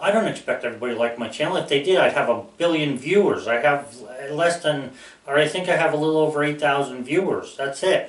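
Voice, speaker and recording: A man at a fairly high pitch and very fast pace, with audible room echo and noticeable background noise. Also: ordinary pitch variation. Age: 60s. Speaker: YouTuber. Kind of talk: casual monologue. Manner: rambling, hesitant with fillers.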